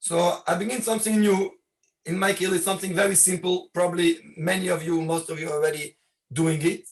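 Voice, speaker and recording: This speaker has a non-native accent and an ordinary amount of pitch variation. The pace is moderate. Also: man. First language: not English. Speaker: rabbi. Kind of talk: video call presentation. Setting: video call. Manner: halting.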